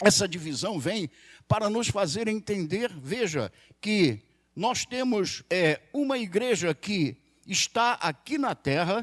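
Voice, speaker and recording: Very slowly, a man speaks in a high voice with very wide pitch swings, the sound dry and close with no echo. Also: very clean recording, silent background. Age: 60s. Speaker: pastor. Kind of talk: sermon.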